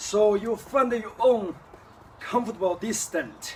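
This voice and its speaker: A man speaks with a Chinese accent. His pace is fairly slow. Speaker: kung fu teacher. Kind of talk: tutorial. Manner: halting.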